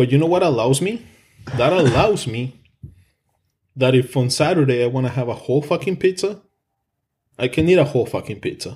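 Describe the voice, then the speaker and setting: Speaking with a strong non-native accent, a man sounds animated and somewhat breathy at a fairly high pitch, moving at a fairly quick pace with long, frequent pauses. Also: lively intonation. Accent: thick foreign. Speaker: podcast host. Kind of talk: casual chat. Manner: animated, profane.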